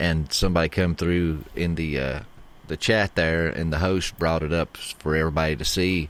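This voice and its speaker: In an East Tennessee accent, a man with a very deep, low pitch talks at a moderate pace with fairly even intonation on a very clean recording with a silent background. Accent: East Tennessee twang. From East Tennessee, Rogersville. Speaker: podcaster and author, factory worker. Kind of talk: casual podcast interview.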